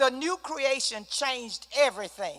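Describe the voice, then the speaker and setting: With a bright, sharp tone, a woman projects a raised, high-pitched voice whose pitch varies in an ordinary way. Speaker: Bible study teacher. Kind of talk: Bible study teaching. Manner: animated.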